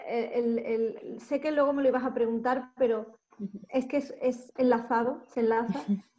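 With an Andalusian accent, this dark, mellow voice moves at a fairly slow pace. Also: woman. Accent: southern Spanish (Andalusian). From Andalusia, Málaga. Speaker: fashion photographer. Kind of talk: interview.

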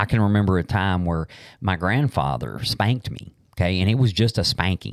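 Pitched very deep and low, a man talks at a fairly quick pace with lively intonation. The recording is very clean, with a silent background. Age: 50s. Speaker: podcast host. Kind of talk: casual chat. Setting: studio.

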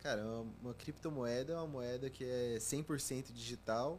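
An ordinary speaking voice from a man, medium in pitch, with fairly even intonation. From Brazil, Goiânia (Goiás). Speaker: cryptocurrency analyst and content creator. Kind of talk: casual interview chat.

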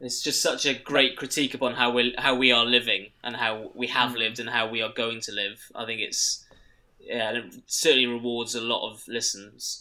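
A man's medium-pitched voice with a bright, sharp tone, monotone, flat intonation, and a moderate pace. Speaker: podcast co-host. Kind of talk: casual chat.

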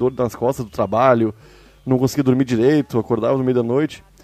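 A man is speaking. His pace is fairly quick. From Porto Alegre, Brazil. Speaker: cannabis podcast host. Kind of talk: casual chat.

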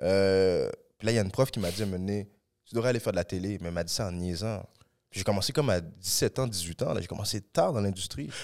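A man with an ordinary speaking voice talks at a fairly quick pace in a fairly low pitch with ordinary pitch variation. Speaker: actor and comedian. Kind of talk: casual podcast interview.

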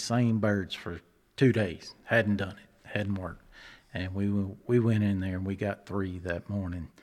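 In a very clean recording with a silent background, a man with a Texan accent speaks in a fairly low pitch with monotone, flat intonation. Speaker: hunting guide and dad. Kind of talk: casual conversational interview.

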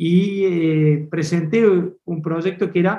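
This man's voice is high-pitched and dark and mellow in tone, with fairly even intonation. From Córdoba, Argentina. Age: 50s. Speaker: agribusiness director. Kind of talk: interview.

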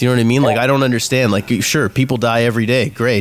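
Noticeable background noise sits behind a man whose intonation is fairly even. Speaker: podcast co-host. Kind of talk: casual banter podcast.

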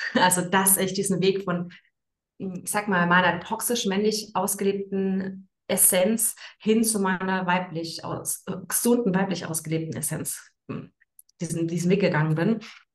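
A somewhat breathy voice with fairly even intonation. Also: woman, medium pitch for a woman. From Frankfurt am Main, Germany. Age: 30s. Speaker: women's coach. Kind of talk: interview. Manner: hesitant, many fillers.

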